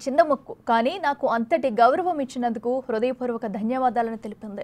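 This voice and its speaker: This is a woman speaking. Her pitch sits high. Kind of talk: TV news narration.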